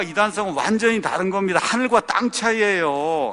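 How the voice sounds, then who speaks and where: A man speaks in an animated tone. Noticeable background noise can be heard. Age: 60s. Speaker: pastor. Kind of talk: sermon-style talk.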